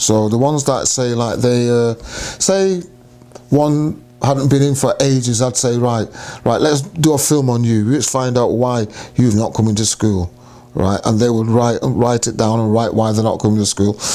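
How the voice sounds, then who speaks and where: Over noticeable background noise, a man talks with very even loudness and ordinary pitch variation. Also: medium pitch for a man, moderate pace. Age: 70s. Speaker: cancer survivor sharing life story. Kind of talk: interview testimony. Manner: repetitive, self-correcting.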